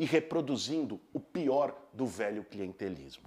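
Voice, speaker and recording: The man's tone is animated. He talks with lively intonation. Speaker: left-wing political commentator. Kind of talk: political commentary video; casual chat.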